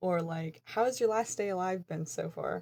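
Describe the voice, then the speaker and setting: A plain, everyday voice with an American accent, ordinary pitch variation and a moderate pace, in a very clean recording with a silent background. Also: woman. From Eastern West Virginia. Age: 20s. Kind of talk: casual talk to camera.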